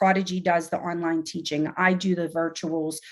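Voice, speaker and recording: Fairly even intonation in a woman's fairly low-pitched voice. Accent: American. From Pittsburgh, US. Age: 40s. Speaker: nurse anesthetist and educator. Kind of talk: podcast interview. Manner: conversational, filler words.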